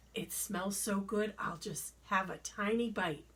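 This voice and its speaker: Raspy and fairly slow, a woman speaks in a put-on character voice. Her pitch sits in the medium range. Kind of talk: bedtime story. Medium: read story.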